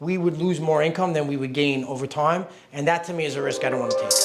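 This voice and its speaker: With an American accent, a man talks in a normal speaking voice, fairly high pitched for a man, with fairly even intonation. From New York. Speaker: real estate investor. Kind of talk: casual explanation to camera.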